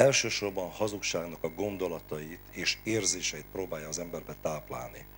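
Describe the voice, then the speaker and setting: With hardly any pauses, a man speaks at a moderate pace in a very deep, low pitch with vocal fry and ordinary pitch variation, over light background noise. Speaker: preacher and service leader. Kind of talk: sermon and prayer at a Bible hour. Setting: church. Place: church. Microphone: handheld.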